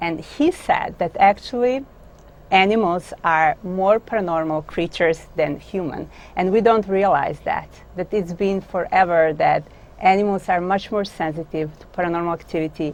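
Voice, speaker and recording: The speaker has a Croatian accent and ordinary pitch variation. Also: woman, medium pitch for a woman, moderate pace. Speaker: author and dog business owner. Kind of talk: interview. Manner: halting.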